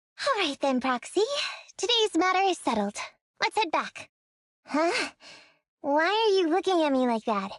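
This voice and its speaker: Squeaky and female-sounding, this put-on character voice sits at an extremely high pitch for a woman, swinging very widely in pitch at a moderate pace with long, frequent pauses. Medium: video game. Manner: casual, dry.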